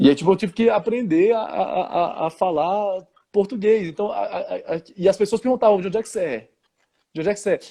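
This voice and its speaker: A man speaks at a fairly quick pace in a high pitch. His tone is dark and mellow, with ordinary pitch variation. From Brazil (born Switzerland, childhood in France until 9). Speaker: historian and music teacher. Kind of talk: interview. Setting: live stream video call. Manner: halting, many repetitions and fillers.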